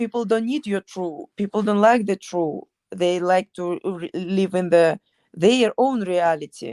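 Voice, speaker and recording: With a strong Ukrainian accent, a woman speaks at a fairly slow pace in a dark, mellow, medium-pitched voice with ordinary pitch variation, heard dry and close without echo. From Ukraine. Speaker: MMA fighter. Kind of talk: interview. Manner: halting.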